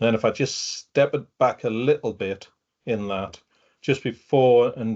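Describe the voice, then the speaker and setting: A man with a northeast English accent speaks at a medium pitch. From northeast England. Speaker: fraud and open-source investigation specialist, retired detective. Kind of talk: webinar talk. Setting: video call.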